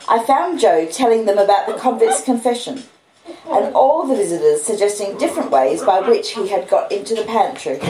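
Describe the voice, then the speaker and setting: A woman with an Australian accent at fairly high pitch, very wide pitch swings and moderate pace, with audible room echo and noticeable background noise. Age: 50s. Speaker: audiobook reader. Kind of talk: reading aloud.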